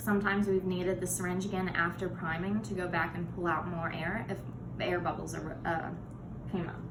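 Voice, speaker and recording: Over noticeable background noise and audible room echo, a woman talks at a fairly quick pace in a medium pitch with ordinary pitch variation. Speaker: patient with chronic illness. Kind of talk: tutorial. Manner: fast.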